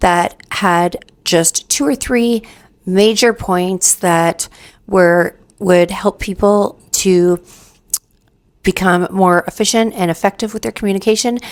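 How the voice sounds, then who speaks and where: A woman, quiet. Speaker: communication coach. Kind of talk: tutorial.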